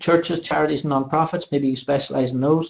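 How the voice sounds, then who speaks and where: Here a man has a normal speaking voice at a fairly high pitch. His intonation stays fairly even. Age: 30s. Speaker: direct sales presenter. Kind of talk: sales pitch. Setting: live online presentation.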